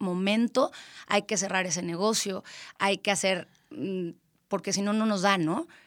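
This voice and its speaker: A woman speaks in a central Mexican accent. Her medium pitch carries fairly even intonation. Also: dry, close sound with no echo, very clean recording, silent background. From Mexico, Querétaro. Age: 30s. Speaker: event planner. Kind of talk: interview.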